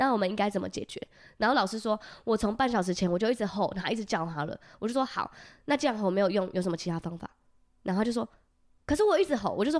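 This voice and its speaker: Speaking at a very fast pace with a fairly high pitch, a woman leaves long, frequent pauses. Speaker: podcast co-host. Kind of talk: casual chat.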